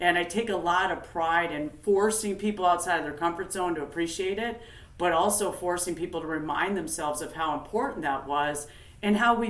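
With an American accent and a fairly low pitch, a woman talks at a fairly quick pace with ordinary pitch variation and audible room echo. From US Upper Midwest, northern Minnesota. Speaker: company founder and industry expert. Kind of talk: interview.

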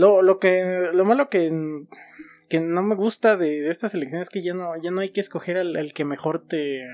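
Speaking at a moderate pace with a Mexican accent, a man uses a high pitch and ordinary pitch variation. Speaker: podcast co-host. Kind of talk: casual chat.

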